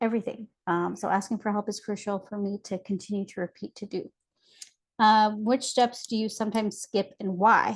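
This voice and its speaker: A woman talks at a fairly quick pace in a somewhat breathy, medium-pitched voice. Her delivery is monotone and flat, with a dry, close sound and no echo. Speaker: trauma and resilience life coach. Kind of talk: tutorial. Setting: webinar. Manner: fast.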